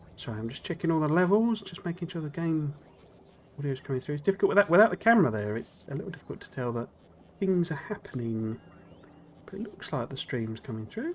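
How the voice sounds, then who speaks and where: A man with a British accent talks at a very fast pace. His pitch swings very widely and his loudness shifts a lot. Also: fairly high pitch for a man. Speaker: gaming streamer. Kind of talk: casual gameplay commentary.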